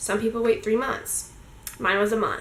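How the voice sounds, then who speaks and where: A loud woman's voice, high in pitch, with audible room echo. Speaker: vlogger. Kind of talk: casual vlog monologue. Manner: fast.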